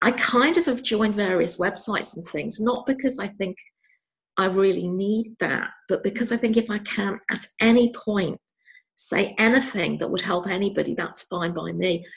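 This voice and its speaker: A woman speaks at a moderate pace with a slight Scouse accent. Her voice is somewhat breathy. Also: medium pitch for a woman, ordinary pitch variation. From Liverpool, England. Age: 50s. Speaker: retired psychiatrist. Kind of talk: interview.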